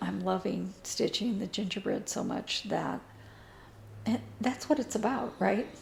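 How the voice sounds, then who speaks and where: A woman is speaking. Her pace is fairly slow. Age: 60s. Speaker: cross-stitch video blogger. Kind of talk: casual chat. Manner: hesitant, many fillers.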